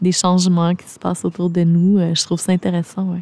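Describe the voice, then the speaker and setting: The tone is dark and mellow. It is recorded dry and close, with no echo. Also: woman. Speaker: explorer, documentary filmmaker and ultramarathon runner. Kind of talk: podcast interview answer.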